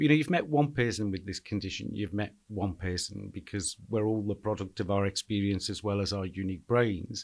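A man in a Liverpool accent with fairly low pitch, in a very clean recording with a silent background. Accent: Scouse. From Liverpool (Anfield). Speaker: charity chief executive. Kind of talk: interview.

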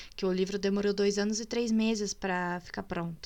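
A woman speaks at a moderate pace in a bright, sharp tone. The recording is very clean, with a silent background. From Minas Gerais, Brazil. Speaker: podcast host and writer. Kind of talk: casual chat. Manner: animated.

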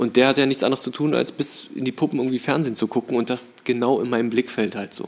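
Talking at a very fast pace with hardly any pauses, a man keeps a medium pitch and a monotone, flat intonation. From Berlin (Charlottenburg), moved from Tehran at five. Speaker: actor and film director. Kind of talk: casual interview chat.

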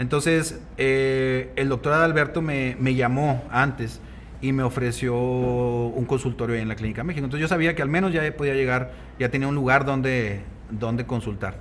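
In an ordinary speaking voice, the speaker keeps a moderate pace and fairly even intonation. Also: man, medium pitch for a man. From Mexico, Coahuila (Nava). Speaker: gynecologist and fertility specialist. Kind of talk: casual interview.

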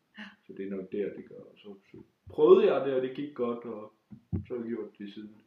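A man's normal speaking voice, medium in pitch, with ordinary pitch variation and big swings in loudness. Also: moderate pace. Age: 20s. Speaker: stand-up comedian. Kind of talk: casual interview. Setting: at home.

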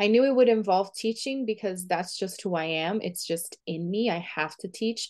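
Against a quiet background, a woman with a Portuguese accent speaks at a moderate pace, her medium pitch showing ordinary variation. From Brazil. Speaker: visibility coach and author. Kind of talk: interview conversation.

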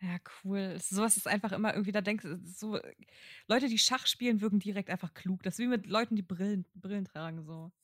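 Somewhat breathy and at a medium pitch, a woman speaks at a fairly quick pace with fairly even intonation, in a dry, close sound with no echo. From northern Germany (Kiel-Mettenhof). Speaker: podcast co-host. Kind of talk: casual chat.

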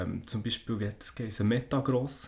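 A man speaks with a Swiss accent. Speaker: podcast co-host. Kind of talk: casual chat.

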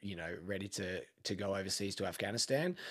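A man talks at a moderate pace. His recording is very clean, with a silent background. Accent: Australian. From Australia, Melbourne. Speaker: gym owner and army veteran. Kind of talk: casual interview.

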